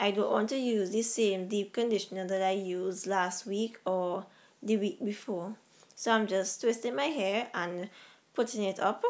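This woman has an ordinary speaking voice with medium pitch. She talks at a fairly slow pace with fairly even intonation. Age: 20s. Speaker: natural hair vlogger. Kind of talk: casual voice-over tutorial.

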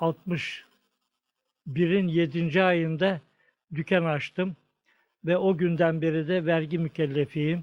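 The speech comes very slowly with long, frequent pauses, its intonation monotone and flat, its loudness very even, and its sound dry and close with no echo over a quiet background. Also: man, high pitch for a man. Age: 80s+. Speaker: tailor. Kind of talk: interview answer.

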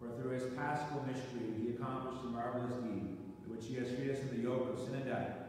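Over light background noise and strong room echo, a man speaks at a very fast pace in a monotone, flat intonation. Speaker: priest. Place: church.

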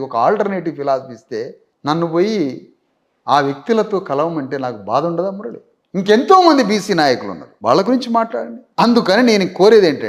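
A high-pitched man's voice with very wide pitch swings and big swings in loudness. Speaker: political party founder. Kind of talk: interview. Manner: animated.

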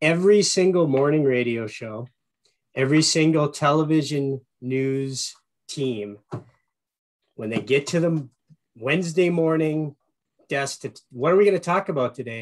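A man with an Upper Peninsula Michigan accent and a fairly high pitch talks at a moderate pace with ordinary pitch variation, taking long, frequent pauses against a quiet background. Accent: Upper Midwest (Yooper). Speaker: marketing executive and radio show host; guest. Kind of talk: webinar presentation. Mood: warm, enthusiastic. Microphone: video call.

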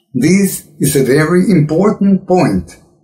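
A man's somewhat breathy voice against a quiet background. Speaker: religious commentator. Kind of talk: sermon. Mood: earnest, admonishing.

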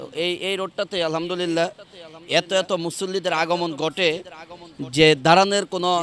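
A high-pitched man's voice with monotone, flat intonation. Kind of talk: on-location report and street interviews. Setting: outdoors at a large religious gathering site by the road.

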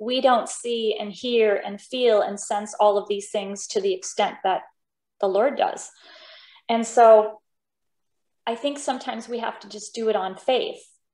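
Fairly slow speech with long, frequent pauses and ordinary pitch variation, audible room echo, and a quiet background. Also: woman, fairly high pitch for a woman, big swings in loudness. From Denmark, raised in US Pacific Northwest. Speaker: opera singer; interview guest. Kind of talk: interview. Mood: earnest, reflective about faith. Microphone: video call.

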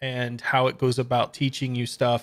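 A man speaks fairly quickly, with little heard in the background. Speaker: coding channel host. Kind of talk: screen-share tutorial commentary. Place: home room.

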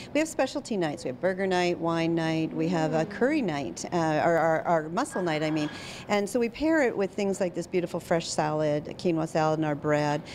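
A woman with a Canadian accent, ordinary pitch variation and hardly any pauses, against noticeable background noise. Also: fairly low pitch for a woman, fairly quick pace. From Saskatchewan, Canada (Regina). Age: 50s. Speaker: physician and café owner. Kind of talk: TV interview. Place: cafe. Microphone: handheld.

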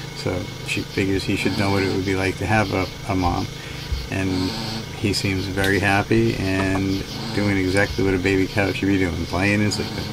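Music can be heard behind the voice. A man speaks at a moderate pace. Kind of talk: casual vlog update. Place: bus. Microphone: phone near.

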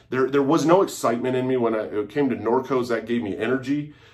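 The background stays quiet. The man's pitch varies in an ordinary way. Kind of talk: casual vlog chat. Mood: earnest, reflective. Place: home room. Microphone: phone near.

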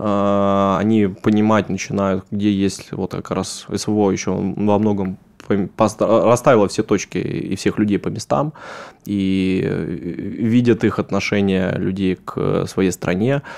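Fairly even in intonation, the words come out at a very slow pace. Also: man, fairly low pitch for a man. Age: 30s. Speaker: politician. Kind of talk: interview. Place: studio. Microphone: studio mic.

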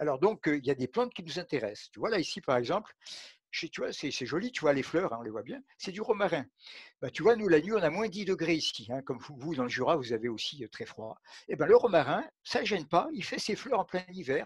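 A man talks at a fairly quick pace in a high pitch, with very wide pitch swings and big swings in loudness. The sound is dry with no echo, over a quiet background. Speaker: physician and aromatherapy expert. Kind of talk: interview conversation. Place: home room. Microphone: headset.

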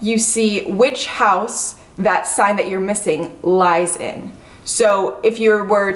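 A woman talks at a moderate pace and medium pitch with ordinary pitch variation, in an unremarkable speaking voice. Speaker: astrology YouTuber. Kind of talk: casual chat. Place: home room. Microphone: camera far.

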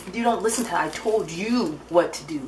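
With light background noise behind her, a woman talks at a moderate pace and ordinary pitch variation. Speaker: vlogger. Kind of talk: casual vlog chat. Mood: mildly exasperated. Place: kitchen. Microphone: phone near.

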